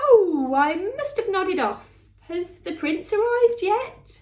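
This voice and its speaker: The woman's put-on character voice reaches an extremely high pitch. Her pace is fairly slow. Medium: read story.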